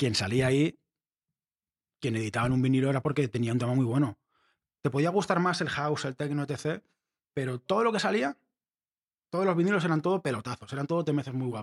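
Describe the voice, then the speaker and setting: The voice moves at a very fast pace with lively intonation, broken by long, frequent pauses. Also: man, fairly high pitch for a man, dry, close sound with no echo. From Spain, Barcelona. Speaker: sound engineer and music production teacher. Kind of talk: casual interview.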